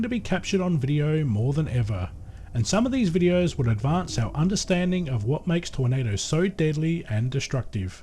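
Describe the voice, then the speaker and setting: In an Australian accent, the speaker talks at a fairly quick pace with a dark, mellow tone and very wide pitch swings. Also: man. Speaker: YouTube creator. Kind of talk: scripted narration. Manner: formal.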